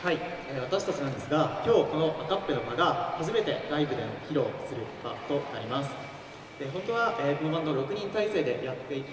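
A man talks very fast, with audible room echo and noticeable background noise. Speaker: band MC. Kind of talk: stage MC talk. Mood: polite, slightly nervous. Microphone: pa.

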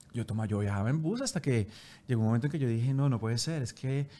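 This is a man speaking. His intonation is lively. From Colombia, Bogotá. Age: 40s. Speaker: entertainment TV presenter; TV presenter. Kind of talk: interview conversation. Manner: halting, repeating words. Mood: reflective, storytelling. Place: studio. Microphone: studio mic.

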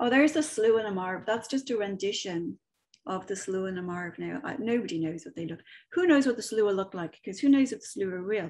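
A woman with a Dublin accent sounds somewhat breathy, her intonation lively. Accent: Irish (Dublin). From Ireland, Dublin. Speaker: medium and author giving a talk; presenter. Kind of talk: online presentation with slides; lecture. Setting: video call. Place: home room. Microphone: webcam.

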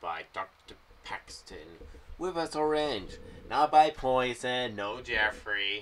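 A man's bright, sharp voice with lively intonation.

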